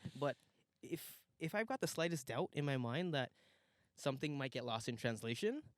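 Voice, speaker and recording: At a moderate pace, a man speaks with lively intonation at a fairly high pitch, his loudness very even and the sound dry and close with no echo. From Guyana. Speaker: podcast guest, former table tennis player. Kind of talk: casual chat. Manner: frequent pauses.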